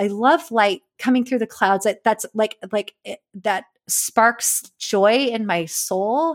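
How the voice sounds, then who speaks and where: The speaker talks at a fairly slow pace with an American accent, and the sound is dry and close with no echo. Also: woman. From California. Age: 40s. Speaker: amateur landscape photographer. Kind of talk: casual interview conversation. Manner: halting, many fillers and restarts.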